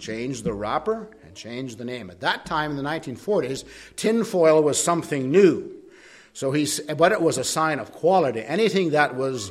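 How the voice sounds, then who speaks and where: Audible room echo surrounds a man's fairly high voice as his pitch swings very widely. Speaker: preacher. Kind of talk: sermon. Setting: church.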